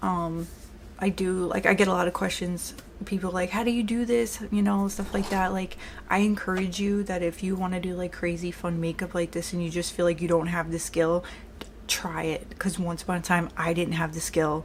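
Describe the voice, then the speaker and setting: A woman with a strong New York accent, fairly low pitch, fairly even intonation and a moderate pace, over noticeable background noise. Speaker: makeup artist. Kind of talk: tutorial. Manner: sounds aggressive.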